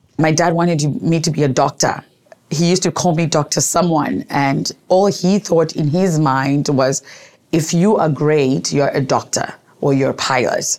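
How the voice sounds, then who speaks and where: A woman with a very deep, low voice speaks at a fairly slow pace in an animated tone. Her loudness stays very even, and her pitch varies in an ordinary way. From Zimbabwe, Gweru. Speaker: entrepreneur and author. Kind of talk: interview storytelling.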